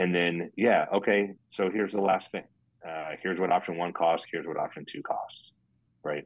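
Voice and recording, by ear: Man at a low pitch and moderate pace, with little pitch movement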